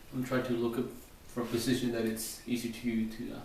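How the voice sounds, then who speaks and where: Noticeable background noise and audible room echo fill the recording. A man talks at a moderate pace and medium pitch with monotone, flat intonation. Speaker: straight razor shaving demonstrator. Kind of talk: tutorial. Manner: halting.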